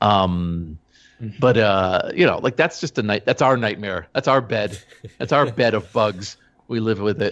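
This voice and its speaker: A man with an ordinary speaking voice, fairly low in pitch, with lively intonation at a moderate pace over a quiet background. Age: 50s. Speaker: digital archivist. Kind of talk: interview.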